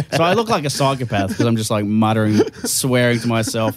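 Over noticeable background noise, a man with an Australian accent speaks fairly quickly at a medium pitch with ordinary pitch variation. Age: 30s. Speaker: comedian. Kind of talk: casual chat.

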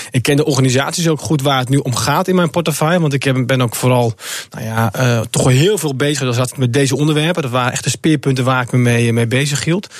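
A man talks at a medium pitch and a very fast pace. He hardly pauses at all. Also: ordinary pitch variation. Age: 20s. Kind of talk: radio interview.

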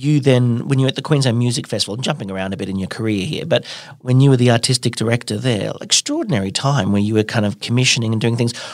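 With an Australian accent, a man of medium pitch talks at a very fast pace with hardly any pauses and ordinary pitch variation. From Brisbane, Australia. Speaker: festival artistic director and podcast host. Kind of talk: interview; scripted introduction.

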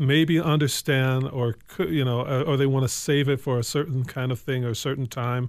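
Speaking with an American accent, a man uses a normal speaking voice at medium pitch, keeping a moderate pace and fairly even intonation. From Evanston, Illinois. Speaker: artist. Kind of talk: casual chat.

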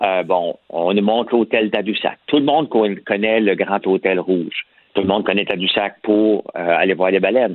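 A man speaks with a strong Quebec accent at a moderate pace. His pitch is fairly low and his loudness very even. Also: ordinary pitch variation. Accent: strong Québécois French. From rural Quebec. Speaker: columnist. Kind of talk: casual chat.

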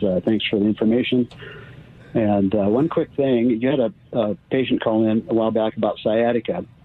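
Using a plain, everyday voice, a man with an American accent talks fairly quickly at a medium pitch with ordinary pitch variation. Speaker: caller. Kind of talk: casual medical question. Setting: phone call.

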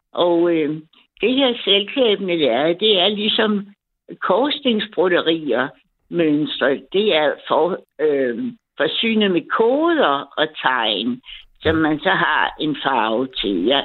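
A woman's fairly low voice at a very slow pace, with very wide pitch swings and very even loudness. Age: 70s. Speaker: caller, retired embroidery hobbyist. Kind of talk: casual chat. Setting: phone call.

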